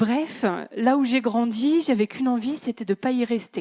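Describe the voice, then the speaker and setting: Over a very clean recording with a silent background, a woman speaks with a fairly high pitch and a dark, mellow tone. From northern France, Creil (Oise). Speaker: conference speaker on management. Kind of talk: conference talk. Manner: casual, conversational.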